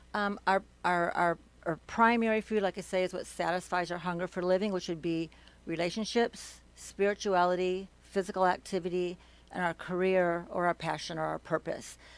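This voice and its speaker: In an American accent, a woman speaks at a medium pitch and a moderate pace with monotone, flat intonation. The recording is very clean, with a silent background. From US Midwest. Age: 50s. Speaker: wellness coach. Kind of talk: interview. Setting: studio.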